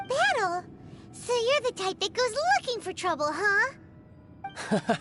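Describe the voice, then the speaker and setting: A put-on character voice pitched extremely high, delivered at a fairly slow pace. Loud noise fills the background. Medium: video game.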